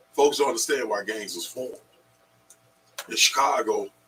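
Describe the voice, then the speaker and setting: A man speaks with music in the background. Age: 60s. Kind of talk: radio panel discussion.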